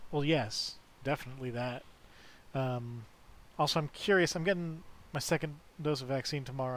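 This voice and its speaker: A man's quiet voice at a medium pitch, with fairly even intonation and a moderate pace. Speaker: video game streamer. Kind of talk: casual chat.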